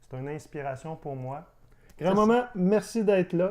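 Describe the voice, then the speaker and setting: A man speaks at a fairly slow pace. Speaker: interviewer, channel host. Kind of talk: interview questions, casual conversation.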